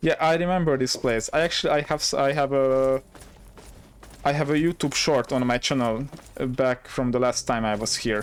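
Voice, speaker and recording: This man's voice sits fairly high in pitch and moves at a moderate pace. His loudness stays very even. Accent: Hungarian. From Hungary. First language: Hungarian. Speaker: gaming streamer. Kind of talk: live gameplay commentary. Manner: animated.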